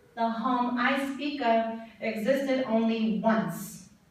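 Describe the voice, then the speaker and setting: Over noticeable background noise, a woman with a fairly high voice talks at a very slow pace. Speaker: spoken word poet. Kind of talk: poetry performance. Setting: live conference stage.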